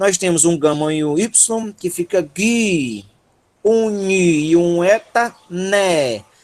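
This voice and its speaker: With a Ceará accent, a man speaks at a high pitch in an animated tone with lively intonation. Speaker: teacher. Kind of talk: online lecture.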